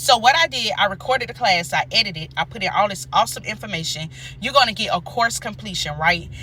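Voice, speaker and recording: Over noticeable background noise, a woman speaks at a very fast pace in an animated tone. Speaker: nurse and career coach. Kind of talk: casual vlog with sales pitch.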